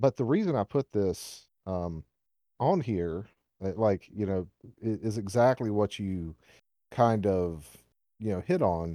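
In a very clean recording with a silent background and a dry, close sound with no echo, a man with a Southern US accent speaks very slowly at a fairly low pitch, his tone dark and mellow and his pitch variation ordinary. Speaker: podcast host. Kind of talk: casual chat. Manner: rambling, filler words.

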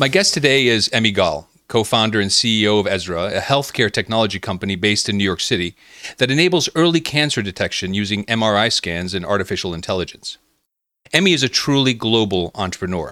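Over a silent background in a very clean recording, a man with an unremarkable speaking voice talks fairly quickly at a fairly low pitch with lively intonation. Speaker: podcast host. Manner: scripted, measured delivery.

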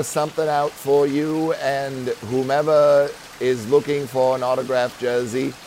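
At a moderate pace and a fairly high pitch, a man talks against noticeable background noise. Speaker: game master running a tabletop roleplaying game. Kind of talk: casual tabletop roleplaying game session with narration and banter.

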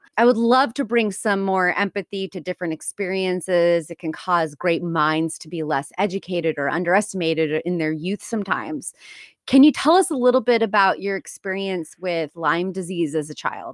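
In an unremarkable speaking voice, a woman talks at medium pitch and a moderate pace with ordinary pitch variation and hardly any pauses. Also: dry, close sound with no echo. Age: 30s. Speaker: podcast host and career coach. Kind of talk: casual interview.

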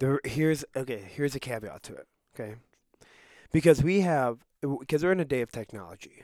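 A man with an American accent talks at a fairly quick pace and fairly high pitch, his lively intonation marked by big swings in loudness and long, frequent pauses, in a dry, close recording with no echo. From Russia. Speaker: Bible school student. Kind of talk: casual chat. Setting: studio.

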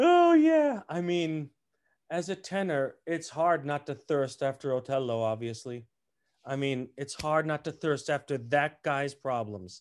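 In a normal speaking voice, a man with an American accent talks at a fairly slow pace with ordinary pitch variation. His pitch is fairly high for a man, and the background is quiet. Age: 50s. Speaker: opera tenor. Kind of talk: casual chat.

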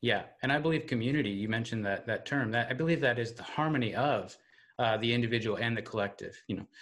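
Speaking very fast in an American accent, a man keeps a medium pitch with ordinary pitch variation. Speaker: podcast host. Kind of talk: interview conversation.

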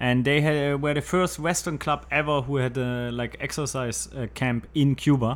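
A man's medium-pitched voice with a German accent, at a moderate pace with fairly even intonation. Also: hardly any pauses. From Germany. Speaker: water charity founder. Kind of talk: interview. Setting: studio.

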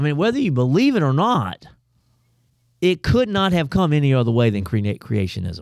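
On a very clean recording with a silent background, a man with a Southern US accent speaks in a fairly high, animated voice with very wide pitch swings and very even loudness. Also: moderate pace. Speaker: pastor. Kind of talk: casual chat.

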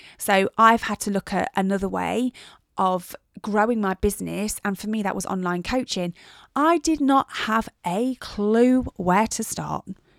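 A woman with an English accent, a medium pitch, ordinary pitch variation and a fairly slow pace, in a dry, close sound with no echo on a very clean recording with a silent background. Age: 40s. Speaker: personal trainer and podcast host. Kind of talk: casual solo chat.

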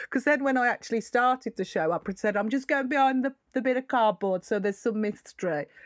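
At a very fast pace with hardly any pauses, a woman speaks at fairly high pitch with ordinary pitch variation and very even loudness, in a dry, close sound with no echo. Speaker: stand-up comedian. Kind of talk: casual chat. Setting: video call.

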